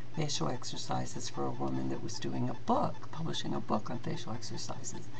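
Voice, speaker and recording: A woman's voice amid noticeable background noise. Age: 60s. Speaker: fitness instructor. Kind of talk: tutorial. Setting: webcam video.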